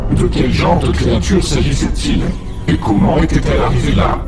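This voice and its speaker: A man puts on a character voice at a moderate pace. Loud background noise runs behind him. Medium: audio drama. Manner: curt, authoritative.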